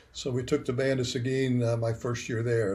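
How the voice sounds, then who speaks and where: A somewhat breathy voice with an American accent at a fairly quick pace. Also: man. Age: 70s. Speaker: retired band director. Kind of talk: interview. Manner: animated.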